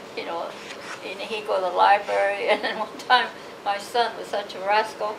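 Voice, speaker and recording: Over noticeable background noise, a woman with an American accent talks at a fairly quick pace. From Los Angeles, California. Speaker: oral history interviewee, Japanese American; interviewee. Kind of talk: oral history interview answer. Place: home room. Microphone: camera far.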